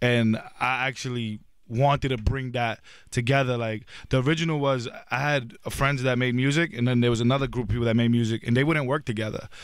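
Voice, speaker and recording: This man talks fairly quickly with a New York accent at a medium pitch. His intonation stays fairly even, and the recording is very clean with a silent background. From New York City (Brooklyn and Queens). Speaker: social media influencer. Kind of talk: casual interview chat. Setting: radio station interview lounge.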